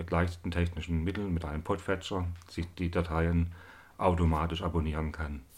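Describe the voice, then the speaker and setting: His pace is moderate. The man's pitch lies very deep and low. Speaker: podcast host, electrical engineer. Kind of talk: monologue introduction. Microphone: new recorder and two expensive microphones.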